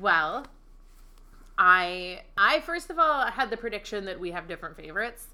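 At a moderate pace, a woman with an American accent speaks in a bright, sharp tone, with very wide pitch swings and big swings in loudness, in a very clean recording with a silent background. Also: medium pitch for a woman. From Pennsylvania Dutch country. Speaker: food podcast co-host. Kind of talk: casual chat.

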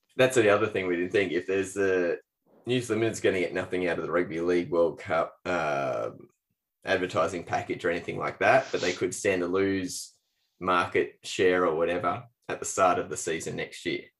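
A man at a fairly quick pace, in an Australian accent, on a very clean recording with a silent background. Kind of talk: casual chat. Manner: casual, jokey.

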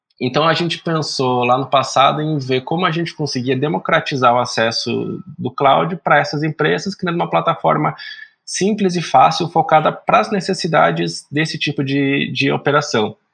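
A man speaks at a fairly high pitch with vocal fry and ordinary pitch variation. His pace is moderate, with hardly any pauses. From Brazil, interior of São Paulo state (Araraquara). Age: 30s. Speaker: startup founder and CEO. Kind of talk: podcast interview.

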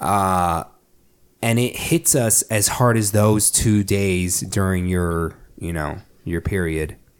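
A man's very deep, low voice with ordinary pitch variation at a very slow pace, in a very clean recording with a silent background. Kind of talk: casual chat.

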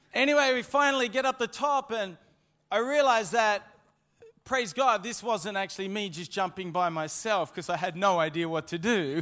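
Speaking at a fairly slow pace, a man uses a high pitch and lively intonation with a bright, sharp tone. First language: English (speaking French). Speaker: preacher. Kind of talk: sermon. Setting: church. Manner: interpreted sermon, pausing for French translation.

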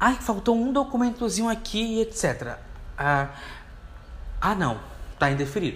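At a fairly slow pace with long, frequent pauses, a man with a high voice speaks with very wide pitch swings. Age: 20s. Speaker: podcast host, university student. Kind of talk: solo podcast monologue. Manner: casual, conversational.

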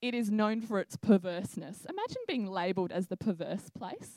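A woman with an Australian accent, lively in intonation, at a moderate pace. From Australia, Adelaide. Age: 20s. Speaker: church preacher. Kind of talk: sermon. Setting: church with congregation.

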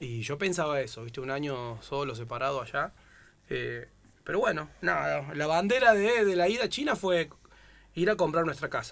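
Fairly high-pitched male speech at a moderate pace, with very wide pitch swings. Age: 30s. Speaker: footballer. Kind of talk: casual chat.

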